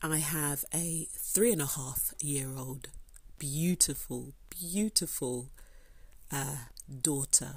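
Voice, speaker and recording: A woman's very deep, low, somewhat breathy voice at a very slow pace, with long, frequent pauses and ordinary pitch variation, on a very clean recording with a silent background. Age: 30s. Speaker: podcast host, paralegal. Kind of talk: solo monologue podcast.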